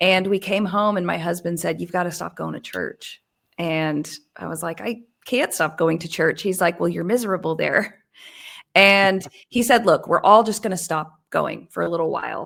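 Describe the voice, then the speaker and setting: At a moderate pace, a woman speaks with vocal fry at a fairly low pitch and ordinary variation, in a very clean recording with a silent background. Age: 40s. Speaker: news show host, guest. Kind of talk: casual chat.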